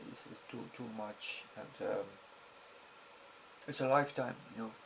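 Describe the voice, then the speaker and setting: A man speaks with a non-native accent, and the room echo is audible. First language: not English. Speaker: video blogger. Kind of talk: casual monologue. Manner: halting, many fillers.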